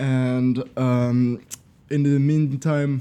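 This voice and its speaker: In a Swiss French accent, the voice has a dark, mellow tone and fairly even intonation. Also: man. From French-speaking Switzerland. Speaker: podcast guest. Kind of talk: casual podcast discussion.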